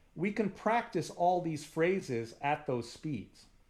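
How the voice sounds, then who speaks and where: Speaking with an American accent, a man talks at a high pitch. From US, Punjabi family. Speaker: musician teaching a workshop. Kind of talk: online workshop. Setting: video call. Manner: fast.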